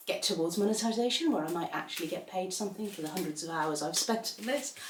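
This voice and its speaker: A woman at medium pitch with very wide pitch swings, amid audible room echo and noticeable background noise. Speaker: pilates instructor. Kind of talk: exercise class instruction.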